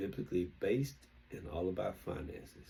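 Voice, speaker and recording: In a Southern US accent, a man speaks with a very deep, low pitch and a dark, mellow, somewhat breathy tone. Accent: southern drawl. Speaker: investing vlogger. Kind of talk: casual monologue. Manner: halting.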